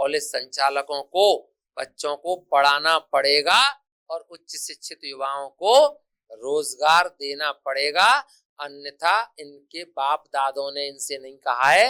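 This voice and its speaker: A man talks in a bright, sharp tone. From India, Gwalior-Chambal region (Morena district). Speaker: college principal. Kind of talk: interview. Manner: impassioned, declamatory.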